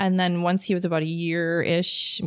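With an American accent, a woman with a fairly low pitch talks at a moderate pace in an ordinary speaking voice. The recording is very clean, with a silent background. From Wisconsin, Pewaukee. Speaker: artist. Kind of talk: interview.

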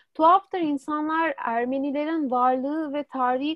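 A woman is speaking. Her pace is fairly slow. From Turkey, Istanbul. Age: 20s. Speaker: student. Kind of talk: interview.

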